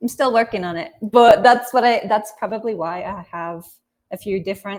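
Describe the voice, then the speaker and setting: A woman's voice with fairly even intonation. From England. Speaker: English teacher and author. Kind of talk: casual video call interview. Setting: video call.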